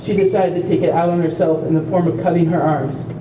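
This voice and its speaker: Over noticeable background noise and audible room echo, a man speaks with a high pitch at a fairly quick pace. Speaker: family member of a self-injurer, speaker at awareness walk. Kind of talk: prepared speech.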